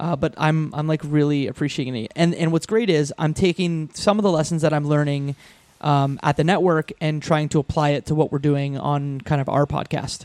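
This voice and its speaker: Dry and close with no echo, a man's fairly high voice moves at a fairly quick pace, an unremarkable speaking voice. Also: fairly even intonation. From Canada, Windsor, Ontario. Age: 30s. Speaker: podcaster. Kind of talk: casual chat.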